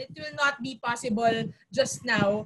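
A woman speaks with a Filipino accent. Her pitch swings very widely. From Philippines, Metro Manila. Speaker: youth council president. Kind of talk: panel discussion. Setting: video call. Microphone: earbuds.

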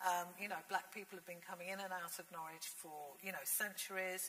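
A woman with a British accent, flat monotone intonation and a moderate pace. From England. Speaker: literature lecturer and writer; literature lecturer. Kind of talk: panel discussion. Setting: stage with audience. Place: hall.

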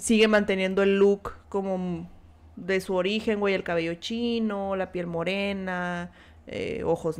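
Someone speaks at a very slow pace with a Mexican accent. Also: woman. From Mexico. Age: 30s. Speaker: streamer. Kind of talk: casual chat. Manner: animated. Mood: chatty, amused gossip. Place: home room.

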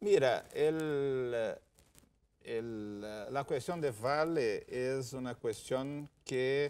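With a Portuguese accent, a man speaks at a very slow pace with ordinary pitch variation. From Brazil, Rio Grande do Sul. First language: Portuguese (speaking Spanish). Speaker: ambassador; guest. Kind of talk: TV interview. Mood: calm, measured. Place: studio. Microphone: lapel.

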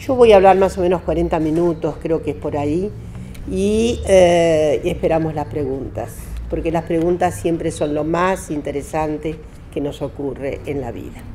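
Speaking at a fairly slow pace, a woman has a very deep, low pitch with ordinary pitch variation. Light background noise sits behind her. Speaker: speaker. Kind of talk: lecture. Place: meeting room. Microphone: podium.

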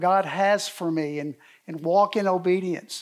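Against a quiet background, a man speaks at a high pitch. His intonation stays fairly even. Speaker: speaker. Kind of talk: sermon. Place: hall.

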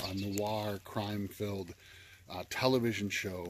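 Against noticeable background noise, a man speaks at a fairly slow pace in a dry sound with no echo. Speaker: game reviewer. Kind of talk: casual vlog chat. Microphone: phone near.

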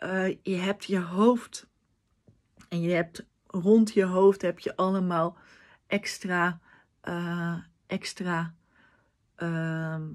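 A woman's fairly low, flat, monotone voice at a very slow pace, with long, frequent pauses, against a quiet background. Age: 20s. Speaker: vlogger with a language disorder. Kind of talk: personal vlog monologue. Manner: halting, searching for words. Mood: earnest, heartfelt. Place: home room. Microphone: phone near.

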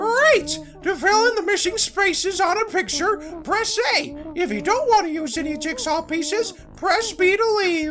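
Using a put-on character voice, a man speaks at a moderate pace against clear background noise. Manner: helpful, instructive, excited.

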